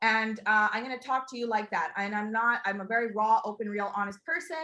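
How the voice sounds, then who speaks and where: A woman talks at a fairly quick pace with a fairly high pitch. Her tone is animated, bright and sharp. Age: 30s. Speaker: network marketing recruiter. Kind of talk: sales pitch. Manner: fast.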